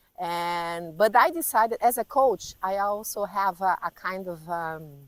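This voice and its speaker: A woman with a Portuguese accent speaks at a fairly slow pace and a medium pitch, with ordinary pitch variation and big swings in loudness, in a very clean recording with a silent background and a dry, close sound with no echo. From Brazil. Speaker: life coach. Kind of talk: interview. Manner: halting.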